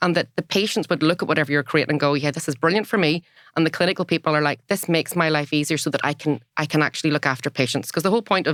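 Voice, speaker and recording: In a Northern Irish accent, the speaker goes at a very fast pace with a dry, close sound with no echo. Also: woman, very clean recording, silent background. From Northern Ireland. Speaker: former health service data director, organisational psychologist. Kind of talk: podcast interview.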